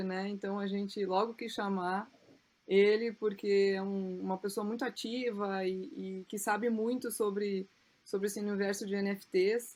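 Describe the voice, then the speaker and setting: In a southern Brazilian accent, a woman speaks at medium pitch and a fairly slow pace. Her intonation is monotone and flat. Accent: gaúcho Brazilian Portuguese. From Rio Grande do Sul, Brazil. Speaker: podcast host. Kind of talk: podcast intro.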